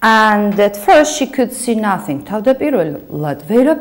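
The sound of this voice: Lively intonation over an unforced reading voice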